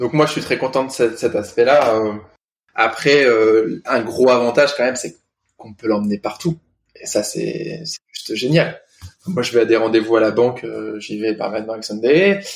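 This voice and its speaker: A man at medium pitch talks at a moderate pace with ordinary pitch variation. His loudness swings widely, and he pauses often and at length. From northern France, Lille area. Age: 30s. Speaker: restaurant owner and guide dog puppy raiser. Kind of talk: casual interview.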